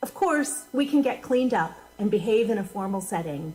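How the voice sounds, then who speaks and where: This woman's voice sits fairly high and moves with lively intonation. She speaks at a fairly slow pace. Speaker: minister. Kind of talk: sermon. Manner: loud; animated.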